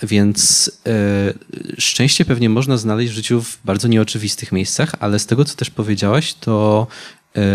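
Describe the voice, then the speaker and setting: A man with a fairly low pitch and ordinary pitch variation has an ordinary speaking voice. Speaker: youth council moderator. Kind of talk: public talk interview. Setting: stage with audience. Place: stage. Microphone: handheld.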